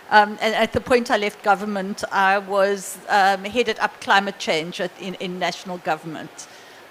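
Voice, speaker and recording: Hardly any pauses break up this moderately paced speech. Underneath, background noise is noticeable. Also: woman, medium pitch for a woman, fairly even intonation. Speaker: business organization CEO. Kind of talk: panel discussion. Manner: halting.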